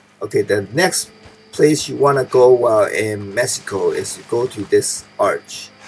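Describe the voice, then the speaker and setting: Music plays in the background. A man is speaking. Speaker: gaming video creator. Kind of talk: tutorial. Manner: instructional, calm.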